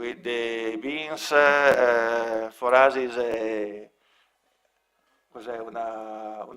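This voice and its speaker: An Italian-accented man at medium pitch with monotone, flat intonation. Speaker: local project representative. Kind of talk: presentation. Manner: halting.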